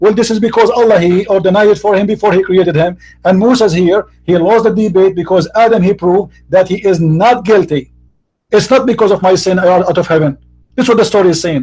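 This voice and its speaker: Fairly quick and very even in loudness, a man speaks at a high pitch with a dark, mellow tone and ordinary pitch variation. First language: not English. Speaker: debater. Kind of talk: heated debate.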